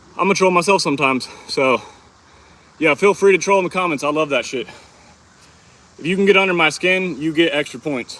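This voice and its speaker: A man's high-pitched voice in a Texan accent, fairly quick but broken by long, frequent pauses, with ordinary pitch variation over noticeable background noise. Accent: sounds Texan. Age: 20s. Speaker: fitness livestreamer. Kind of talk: casual live stream chat during workout. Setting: outdoors in hot sun.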